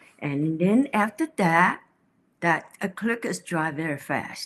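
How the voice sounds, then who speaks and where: A woman speaks with a Chinese accent at a fairly slow pace. Her pitch is fairly low. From China. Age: 80s+. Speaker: painter. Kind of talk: interview. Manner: halting.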